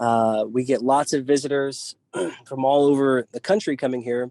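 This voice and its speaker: A man's fairly high-pitched, dark, mellow voice at a moderate pace, with ordinary pitch variation and a dry, close sound free of echo. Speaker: park ranger. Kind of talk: virtual tour presentation. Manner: halting, many fillers.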